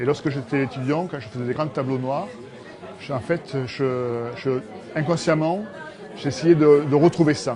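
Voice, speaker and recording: With crowd noise in the background, a man speaks at a moderate pace and a fairly high pitch, with ordinary pitch variation. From Rodez, Aveyron, southern France. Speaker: metal sculptor. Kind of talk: interview answer.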